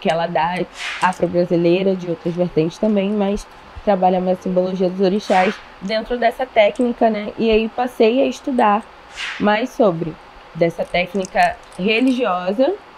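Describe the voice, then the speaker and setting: Background noise is noticeable as a woman speaks. She talks at a fairly slow pace at medium pitch. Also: ordinary pitch variation. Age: 20s. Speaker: dance teacher and dancer. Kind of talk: casual interview.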